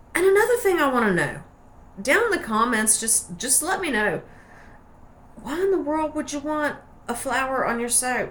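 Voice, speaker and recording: Against noticeable background noise, a woman with a high pitch speaks in a relaxed tone at a moderate pace. Her pitch swings very widely, and she leaves long, frequent pauses. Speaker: soap maker. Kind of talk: casual tutorial. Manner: chatty, relaxed.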